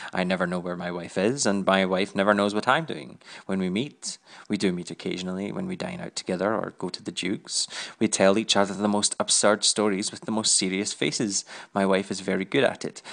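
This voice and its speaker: A man talks at a fairly quick pace in a Scottish accent. His pitch is fairly low and his intonation fairly even. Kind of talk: audiobook reading.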